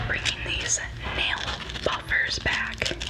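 A woman speaks over loud background noise. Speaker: ASMR creator. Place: home room. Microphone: studio mic.

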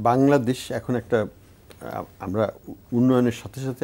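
A man with a dark, mellow tone. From Bangladesh. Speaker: economist; talk show guest. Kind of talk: studio panel discussion. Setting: studio. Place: studio. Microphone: lapel.

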